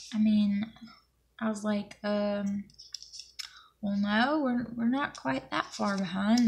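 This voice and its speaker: With an American accent, a woman speaks at a fairly slow pace in a fairly high voice with fairly even intonation. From US South, Alabama. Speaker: planner vlogger. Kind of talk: casual chat. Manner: mumbles when accent is strong.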